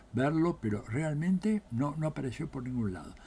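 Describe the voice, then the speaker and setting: Somewhat breathy speech with a dark, mellow tone and lively intonation. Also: man. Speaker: political scientist. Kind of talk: political commentary monologue. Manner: animated.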